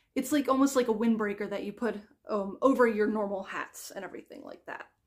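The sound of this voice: A woman speaks at medium pitch and a fairly quick pace. Her pitch varies in an ordinary way.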